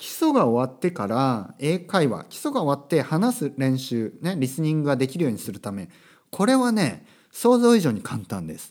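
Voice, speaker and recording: A man's fairly high voice moves through very wide pitch swings and big swings in loudness. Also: moderate pace, very clean recording, silent background. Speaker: podcast host, language teacher. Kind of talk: casual monologue podcast.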